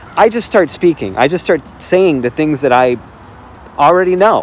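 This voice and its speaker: A man speaks with a Chicago accent at a fairly high pitch. His pitch swings very widely, and there is noticeable background noise. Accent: Chicago American English. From Chicago, US Midwest. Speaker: language learner. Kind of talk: casual chat. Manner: hesitant, many fillers.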